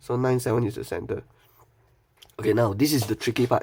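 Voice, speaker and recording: A somewhat breathy man with a Malaysian accent. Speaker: maths tutor. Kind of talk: online maths tutorial. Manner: casual, fast.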